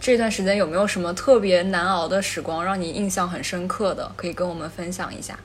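A woman talks very fast with hardly any pauses. Her intonation is fairly even, and background noise is noticeable. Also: medium pitch for a woman. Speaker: podcast host. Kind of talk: casual chat.

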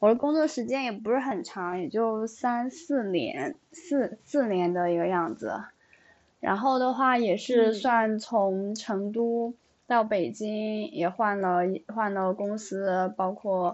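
Her pitch sits fairly high for a woman. She speaks at a very slow pace. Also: lively intonation. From Sichuan, small city. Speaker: online education worker. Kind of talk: casual chat.

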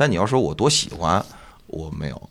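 A man's very deep, low voice, marked by vocal fry, moves at a fairly quick pace. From Northeast China. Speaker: stand-up comedian and comedy club owner. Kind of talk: casual chat.

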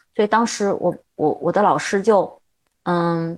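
Against a quiet background, a woman talks at a fairly slow pace with a medium pitch and ordinary pitch variation. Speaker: theatre director and drama teacher. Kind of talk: interview. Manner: halting.

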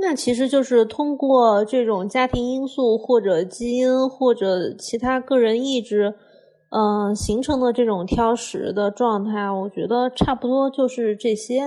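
A woman speaks fairly slowly in a fairly high voice with a dark, mellow tone and ordinary pitch variation. The recording is very clean and the background silent. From Hunan, China. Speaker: podcast co-host, cook. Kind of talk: casual chat.

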